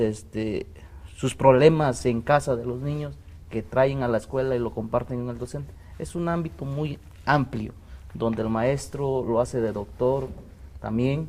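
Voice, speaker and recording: A man with a medium-pitched voice speaks at a fairly slow pace. His tone is dark and mellow. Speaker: teacher union representative. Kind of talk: panel debate. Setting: TV studio. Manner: halting.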